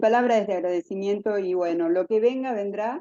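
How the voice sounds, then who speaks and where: Fairly high-pitched woman's voice, dark and mellow in tone. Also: dry, close sound with no echo. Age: 60s. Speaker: patient. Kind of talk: testimony. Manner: halting.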